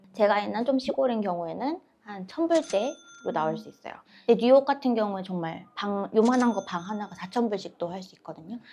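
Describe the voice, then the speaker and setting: Amid noticeable background noise, a woman talks at a fairly quick pace in a medium pitch, with lively intonation and big swings in loudness. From South Korea, Seoul. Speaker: nurse. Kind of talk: interview.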